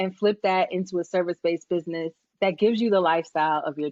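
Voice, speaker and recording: A woman with a Brooklyn accent at medium pitch, fairly quick in pace, with ordinary pitch variation. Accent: New York (Brooklyn). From Brooklyn, New York. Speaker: business coach and psychology professor. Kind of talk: casual interview.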